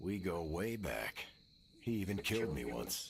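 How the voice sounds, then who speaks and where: This is a put-on character voice, raspy and swinging very widely in pitch. It moves at a moderate pace over clear background noise. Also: man, very deep, low pitch for a man. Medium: video game. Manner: earnest, plainspoken.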